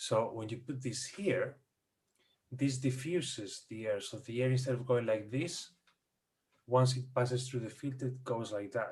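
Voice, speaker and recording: Somewhat breathy and with a non-native accent, the speaker talks at a fairly slow pace with ordinary pitch variation. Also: man. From Spain. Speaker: audio and recording expert guest. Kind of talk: casual explanatory chat. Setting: Zoom video call.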